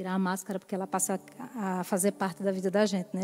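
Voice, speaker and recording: Talking at a very fast pace, a woman has a medium pitch and a dark, mellow tone. Her intonation is fairly even, in a northeastern Brazilian accent. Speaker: lay preacher. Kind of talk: sermon. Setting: church.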